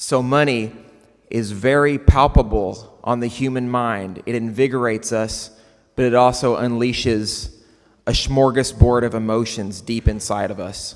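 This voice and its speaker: A man talks at a fairly slow pace, at a medium pitch with fairly even intonation. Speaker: conference speaker. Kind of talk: keynote talk. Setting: stage with audience.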